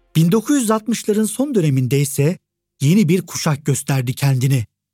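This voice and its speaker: Lively intonation marks this man's fairly high, dark and mellow voice as he talks at a fairly slow pace. The sound is dry and close, with no echo. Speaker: podcast host. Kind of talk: history documentary narration, scripted storytelling. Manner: solemn, dramatic; measured, formal.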